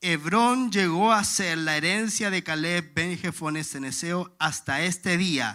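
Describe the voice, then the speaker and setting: A man's fairly high voice, bright and sharp in tone, at a very slow pace on a very clean recording with a silent background. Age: 30s. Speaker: pastor. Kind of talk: sermon.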